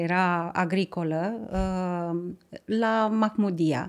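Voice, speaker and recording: A woman is speaking. The background is quiet. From Romania, Tulcea county; Romania. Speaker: environmental NGO director; podcast guest. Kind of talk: interview. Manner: halting. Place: studio. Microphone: studio mic.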